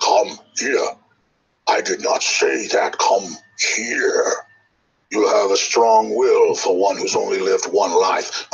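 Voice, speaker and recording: A man puts on a character voice, speaking fairly slowly with long, frequent pauses. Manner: condescending, commanding.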